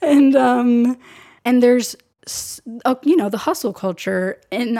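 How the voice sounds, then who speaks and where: A woman speaks with an American accent and ordinary pitch variation. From US West Coast (San Diego, California). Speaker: filmmaker and photographer. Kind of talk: casual interview chat. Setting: living room at home.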